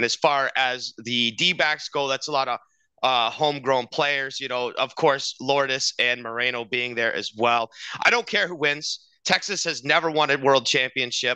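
At a moderate pace and with ordinary pitch variation, a man speaks in a bright, sharp tone, the sound dry with no echo and the background quiet. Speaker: podcast co-host. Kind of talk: sports podcast commentary. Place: home room. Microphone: headset.

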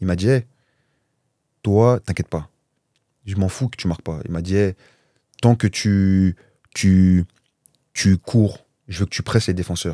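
In a dark, mellow tone with fairly even intonation, the voice moves at a fairly slow pace with long, frequent pauses, against a quiet background with a dry sound and no echo. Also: man, very deep, low pitch for a man. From Paris suburbs, France (Val-de-Marne); France. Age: 30s. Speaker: professional footballer; guest. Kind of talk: casual interview. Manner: hesitant, many fillers. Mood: calm, reflective storytelling. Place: studio. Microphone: studio mic.

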